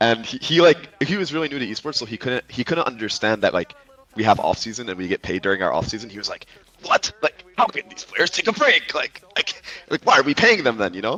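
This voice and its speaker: In an American accent, a man speaks at a fairly quick pace and medium pitch in an animated tone, with lively intonation and big swings in loudness, the sound dry and close with no echo over noticeable background noise. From US Midwest, Illinois. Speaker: pro esports player. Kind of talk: casual chat. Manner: animated, halting with repetitions.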